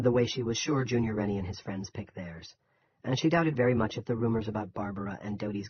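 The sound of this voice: In an unforced reading voice, the speaker reads over a quiet background.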